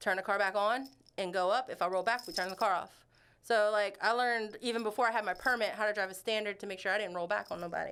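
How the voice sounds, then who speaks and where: Recorded very cleanly against a silent background, a woman talks very fast in a bright, sharp voice of medium pitch, with fairly even intonation. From South Louisiana. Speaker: animal rescue volunteer. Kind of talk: casual chat.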